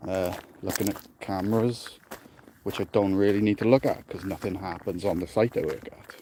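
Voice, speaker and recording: Over noticeable background noise, a man with a South Welsh accent talks at a moderate pace in a monotone, flat intonation, his loudness swinging widely. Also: fairly low pitch for a man. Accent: South Welsh valleys. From South Wales, the valleys. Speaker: security officer vlogger. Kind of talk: casual walking vlog chat. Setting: outdoors, walking through dark forest at night.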